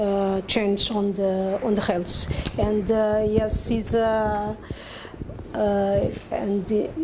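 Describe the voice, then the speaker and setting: A woman's very slow, monotone, flat delivery at very even loudness, with audible room echo and noticeable background noise. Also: medium pitch for a woman. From Cape Verde. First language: Portuguese. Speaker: academic discussant. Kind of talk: conference panel comment. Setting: conference panel session. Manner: halting, many fillers.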